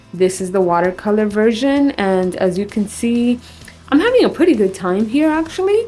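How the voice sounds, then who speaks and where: Quiet speech with lively intonation moves at a moderate pace while music plays in the background. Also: woman, fairly high pitch for a woman. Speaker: artist and art vlogger. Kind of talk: tutorial. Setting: bathroom at home.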